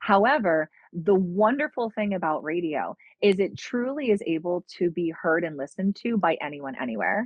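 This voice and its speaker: A woman's plain, everyday voice with an American accent, lively intonation and a moderate pace. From Pennsylvania, US. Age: 40s. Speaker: radio personality. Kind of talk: podcast interview.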